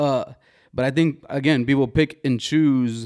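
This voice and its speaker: With fairly even intonation, a man is captured on a very clean recording against a silent background. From US, Mexican-American family. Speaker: podcast host. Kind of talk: casual chat. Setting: studio with camera.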